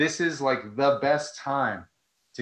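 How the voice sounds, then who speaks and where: A man with an American accent against a quiet background. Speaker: nonprofit director, former teacher; guest. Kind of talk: casual interview on a live video call. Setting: video call. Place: home room. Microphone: earbuds.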